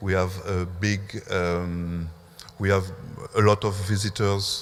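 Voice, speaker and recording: With a French accent and a very deep, low pitch, a man speaks very slowly in fairly even intonation, with audible room echo and noticeable background noise. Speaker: museum curator. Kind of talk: conference talk. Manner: halting.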